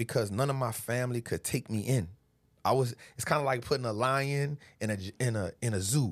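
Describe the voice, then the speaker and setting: An ordinary speaking voice from a man at medium pitch, with ordinary pitch variation, on a very clean recording with a silent background. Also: fairly quick pace. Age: 40s. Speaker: stock market investor. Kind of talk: casual chat.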